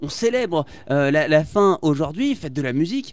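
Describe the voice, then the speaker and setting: Lively intonation runs through a very clean recording with a silent background. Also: man. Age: 20s. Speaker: radio host. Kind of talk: casual chat. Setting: studio.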